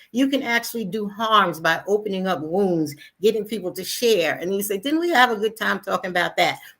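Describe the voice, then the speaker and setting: A woman with a plain, everyday voice talks at a fairly quick pace, medium in pitch with lively intonation. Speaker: health educator presenting on HIV. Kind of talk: presentation / lecture. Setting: live online broadcast.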